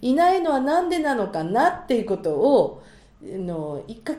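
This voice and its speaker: A woman talks with a fairly high pitch and very wide pitch swings. Noticeable background noise and audible room echo come through. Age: 50s. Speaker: marriage agency matchmaker. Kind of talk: casual chat. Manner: animated.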